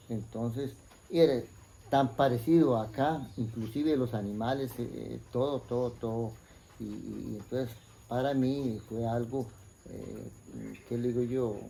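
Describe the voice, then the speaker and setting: With a Costa Rican accent, a man speaks at a fairly slow pace with long, frequent pauses, a medium pitch, fairly even intonation and a dark, mellow, somewhat breathy tone amid audible room echo. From Costa Rica, Puriscal (San José province). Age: 60s. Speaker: interviewee sharing life story. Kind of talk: life story interview. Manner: hesitant, many fillers and repetitions.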